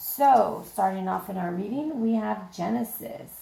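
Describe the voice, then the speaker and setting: A woman speaks with vocal fry and a dark, mellow tone. Her pace is moderate. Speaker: tarot reader. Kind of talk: tarot reading to camera. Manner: casual, chatty.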